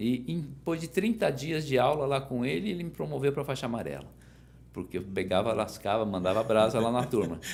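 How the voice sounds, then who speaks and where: Vocal fry runs through a man's medium-pitched voice as he moves fairly quickly with very wide pitch swings. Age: 60s. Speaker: judo master. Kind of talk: interview. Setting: podcast.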